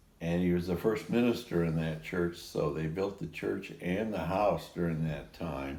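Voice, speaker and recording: A man with a very deep, low voice and a dark, mellow tone speaks at a moderate pace. His intonation is lively, and the room echo is audible. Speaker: interviewee recounting life story. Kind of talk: casual chat. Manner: halting.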